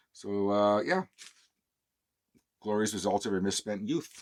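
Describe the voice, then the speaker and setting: A man talks quietly in a relaxed tone with a Canadian accent. The sound is dry and close with no echo, and his pace is moderate. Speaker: vinyl collector YouTuber. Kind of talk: casual show-and-tell monologue. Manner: relaxed, hesitant with fillers; speaking low, quiet.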